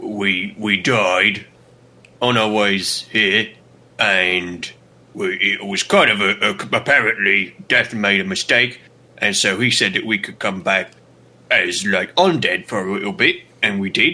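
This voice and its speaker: Putting on a character voice, a man with a fairly low pitch speaks at a fairly slow pace, with long, frequent pauses. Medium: actual play. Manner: rambling, ungrammatical.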